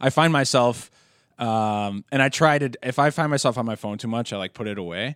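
A man with an ordinary speaking voice talks at a fairly quick pace and medium pitch, with ordinary pitch variation, in a dry, close sound with no echo and a very clean recording with a silent background. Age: 20s. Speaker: wrestling podcast host. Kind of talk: casual chat. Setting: in-person recording at co-host's workplace.

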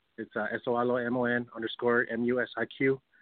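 This is a man speaking with an American accent. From Southern California, Monterey Park. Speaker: independent hip hop artist. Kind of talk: call-in chat. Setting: phone call. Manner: halting.

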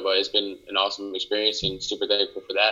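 The speaker is a man with an American accent. His tone is bright and sharp.

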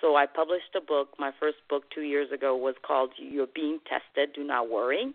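Over background music, a woman speaks at a moderate pace with a very deep, low pitch, fairly even intonation and hardly any pauses. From West Africa. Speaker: author, motivational speaker, cancer survivor. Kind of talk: testimony in a radio interview.

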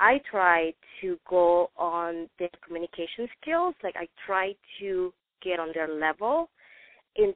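A woman with a non-native accent speaks at a fairly slow pace, her medium pitch showing ordinary variation. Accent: foreign-accented English. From non-English-speaking country, moved to US at 14. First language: non-English. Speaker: study group participant. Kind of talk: group discussion on conference call. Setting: phone call.

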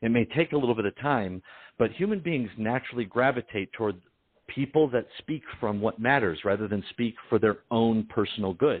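A man with an American accent talks at a moderate pace and medium pitch in an unremarkable speaking voice. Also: ordinary pitch variation. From Detroit, US Midwest. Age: 40s. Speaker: business consultant. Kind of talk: interview.

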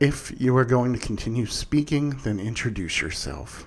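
Someone is doing plain reading aloud. The pitch shows ordinary variation.

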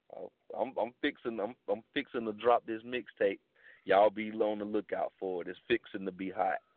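At a moderate pace, a man with a plain, everyday voice and an American accent speaks in a fairly low pitch with fairly even intonation. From Jacksonville, Florida. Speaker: rapper. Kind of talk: casual interview.

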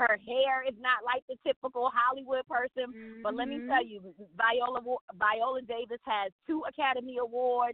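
A moderate pace with big swings in loudness. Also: woman, high pitch for a woman. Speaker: pastor and TV participant. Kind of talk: casual interview. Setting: phone call.

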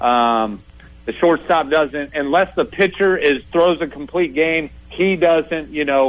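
A man's fairly high voice at a very slow pace, with ordinary pitch variation, very even loudness and music in the background. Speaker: college baseball coach. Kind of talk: interview. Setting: phone call.

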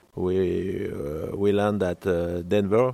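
A man with a French accent speaks very slowly at a fairly low pitch. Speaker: cooking school manager. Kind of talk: interview. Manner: halting.

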